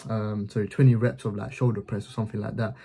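A man's somewhat breathy voice with a dark, mellow tone and fairly even intonation, over a quiet background. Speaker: business vlogger. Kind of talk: casual explanatory vlog chat.

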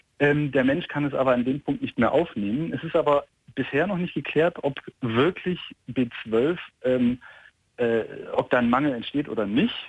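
A man talks at a moderate pace with ordinary pitch variation and long, frequent pauses. The background is quiet and the sound is dry, with no echo. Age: 30s. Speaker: caller, vegan parent; caller. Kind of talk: phone call-in conversation. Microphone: phone line.

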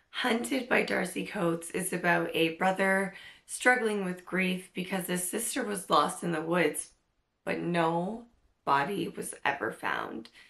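A woman's slow, fairly low-pitched voice with lively intonation, a fairly bright tone, vocal fry and audible room echo

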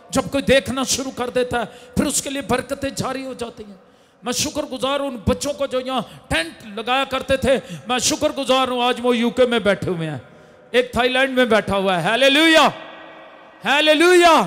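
Animated in tone, a man with an extremely high pitch talks at a fairly slow pace with ordinary pitch variation. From Pakistan. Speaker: pastor. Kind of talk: sermon. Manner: animated, loud. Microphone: handheld.

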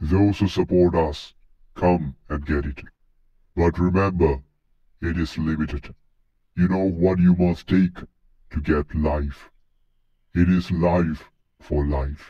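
A man uses a put-on character voice with a very deep, low pitch. He talks at a fairly slow pace with long, frequent pauses. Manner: cold, coercive.

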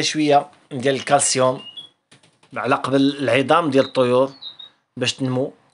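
Speaking at a moderate pace with a Moroccan accent, a man uses a fairly high pitch. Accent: Moroccan Arabic (Darija). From Morocco. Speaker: canary breeder and video creator; video creator. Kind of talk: tutorial. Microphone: phone near.

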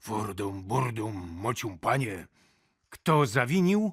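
On a very clean recording with a silent background, a man puts on a growling, gruff character voice at a medium pitch, speaking at a fairly slow pace with lively intonation. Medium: read story. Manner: blustering, gruff.

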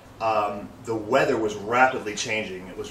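There is audible room echo and light background noise as a man speaks at a fairly low pitch. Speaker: car enthusiast vlogger. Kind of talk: casual vlog chat. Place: street. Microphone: camera far.

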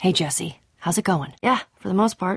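A woman puts on a character voice, fairly low in pitch, with vocal fry, a husky, rough edge and ordinary pitch variation. The recording is very clean, with a silent background. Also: moderate pace.

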